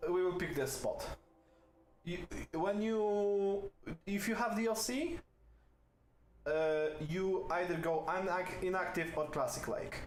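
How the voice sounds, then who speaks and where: A man's high-pitched voice in a non-native accent at a fairly slow pace, with very even loudness, ordinary pitch variation, long and frequent pauses, noticeable background noise and audible room echo. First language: not English. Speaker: video game streamer. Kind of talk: gameplay commentary. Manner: hesitant, many fillers.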